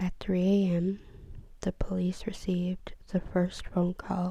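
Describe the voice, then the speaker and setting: A woman speaks at a very slow pace. Her medium-pitched voice is somewhat breathy. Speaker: ASMR creator. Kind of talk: soft-spoken true crime ASMR narration. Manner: soft-spoken, slow, relaxing.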